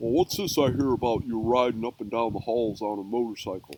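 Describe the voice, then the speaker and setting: A man puts on a character voice at a medium pitch and speaks at a fairly quick pace. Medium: read story. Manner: blustery.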